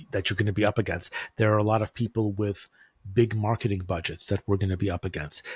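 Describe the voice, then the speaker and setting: Speaking very fast with an American accent, a man has a fairly low, somewhat breathy voice and fairly even intonation. The recording is very clean, with a silent background, and the sound is dry and close with no echo. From United States. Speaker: e-commerce advertising consultant. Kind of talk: interview.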